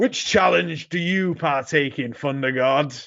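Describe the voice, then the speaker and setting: A man's put-on character voice, fairly high in pitch and fairly slow in pace. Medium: read story. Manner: condescending.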